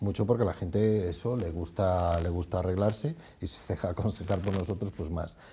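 A man with a very deep, low voice and a dark, mellow, somewhat breathy tone speaks at a moderate pace with fairly even intonation over light background noise. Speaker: department store retail manager; guest. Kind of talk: casual chat. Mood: relaxed, cheerful. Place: studio. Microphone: lapel.

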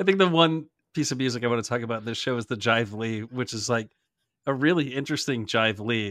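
A man talks at a fairly quick clip in a plain, everyday voice, pitched in the middle range with ordinary pitch variation. The recording is very clean, with a silent background. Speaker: podcast co-host, music fan. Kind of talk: casual chat.

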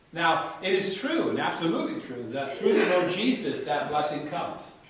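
A man's voice carries strong room echo. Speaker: preacher. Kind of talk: sermon. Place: church.

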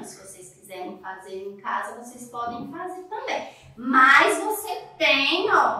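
In strong room echo, a woman projects her raised voice very slowly, with very wide pitch swings and big swings in loudness. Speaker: preschool teacher. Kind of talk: tutorial for young children. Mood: warm, sing-song teacher tone. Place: classroom.

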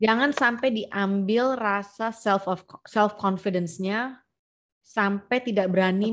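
Against a quiet background, a woman talks at a very slow pace. Her intonation stays fairly even. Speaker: podcast host. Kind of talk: conversational podcast talk. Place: home room. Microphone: video call.

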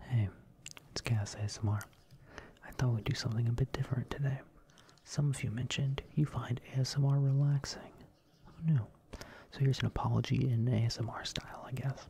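The recording is dry, with no echo. A soft-spoken voice moves at a fairly quick pace. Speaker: ASMR content creator. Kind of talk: soft ASMR monologue, parody apology. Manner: soft-spoken ASMR voice, close to mic. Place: home room. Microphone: studio mic.

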